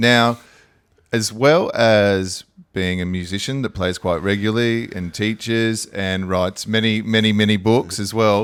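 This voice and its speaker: Fairly low in pitch, a man with an Australian accent speaks at a fairly slow pace with fairly even intonation, in a very clean recording with a silent background. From South Australia. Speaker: podcast host, musician. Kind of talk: interview. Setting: music school.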